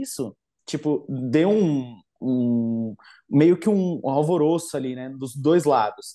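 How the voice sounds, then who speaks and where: Man with lively intonation against a quiet background. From Brazil, Guarulhos, São Paulo; São Paulo, Brazil. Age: 20s. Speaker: witchcraft content creator; podcast guest. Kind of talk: casual chat. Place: home room. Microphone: video call.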